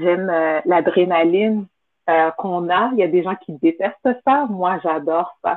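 The woman's pitch is fairly low, with ordinary pitch variation. Her pace is fairly slow, broken by long, frequent pauses. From Montreal, Quebec, of Haitian parents. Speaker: event entrepreneur. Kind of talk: interview. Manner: hesitant, many fillers.

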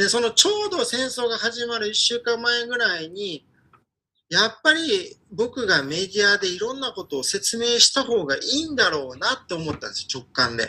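At a moderate pace, a man projects a raised voice at an extremely high pitch with very wide pitch swings. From Ukraine, with primary and middle school in Osaka. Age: 30s. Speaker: Ukrainian commentator. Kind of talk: interview. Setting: pre-recorded remote interview. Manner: animated.

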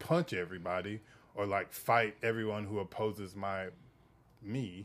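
On a very clean recording with a silent background, a man with an American accent speaks at a fairly slow pace with fairly even intonation. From US South. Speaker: writer and musician. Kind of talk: casual interview. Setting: studio. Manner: halting.

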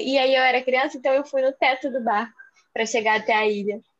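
Pitch moving in an ordinary way, the delivery comes at a fairly quick pace. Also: woman. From Rio de Janeiro, Brazil. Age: 20s. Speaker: podcast co-host. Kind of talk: casual chat.

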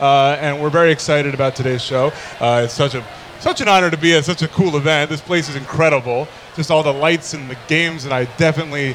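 Noticeable background noise surrounds a man talking at a very fast pace. His pitch is fairly high and his intonation fairly even. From New York area. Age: 20s. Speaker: podcast host, songwriter and voice actor. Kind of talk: casual chat. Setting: stage with live audience at gaming event.

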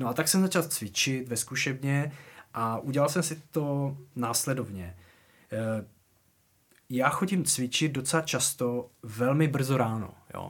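At a very slow pace with long, frequent pauses, a man talks at medium pitch with ordinary pitch variation. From Moravian Wallachia, Czechia. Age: 40s. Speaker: drummer. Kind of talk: casual interview chat. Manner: halting, many fillers and restarts.

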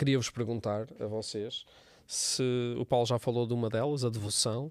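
At a fairly slow pace, a man talks at a medium pitch, the sound dry and close with no echo on a very clean recording with a silent background. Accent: European Portuguese. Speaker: church podcast host. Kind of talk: casual chat.

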